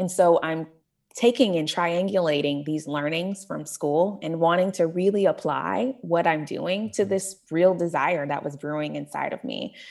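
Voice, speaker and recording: With an American accent, a woman with an unremarkable speaking voice talks at a moderate pace and fairly low pitch, with ordinary pitch variation. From Tulsa, Oklahoma. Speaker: nonprofit executive director. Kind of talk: interview.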